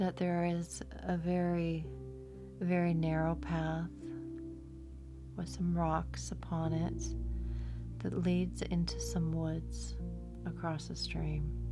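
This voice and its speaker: Over music in the background, a woman with a very deep, low pitch speaks very slowly in a calm, soothing tone with fairly even intonation. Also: hardly any pauses. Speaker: meditation guide. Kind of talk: guided meditation. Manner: slow, calm, soothing.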